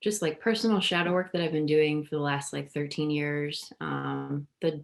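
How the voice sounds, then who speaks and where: A woman speaks with a very deep, low pitch. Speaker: shadow worker and deck creator. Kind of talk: interview. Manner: hesitant, many fillers.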